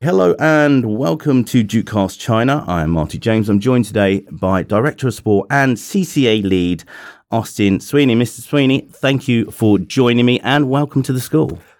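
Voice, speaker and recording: An unremarkable speaking voice from a man, medium in pitch, with lively intonation, a moderate pace and hardly any pauses, on a very clean recording with a silent background. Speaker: podcast host. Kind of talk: casual interview. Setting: studio.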